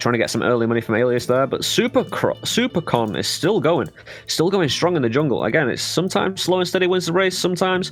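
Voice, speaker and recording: Over music in the background, a man talks at a very fast pace. His high voice makes very wide pitch swings. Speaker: game commentator. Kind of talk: live commentary. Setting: live stream.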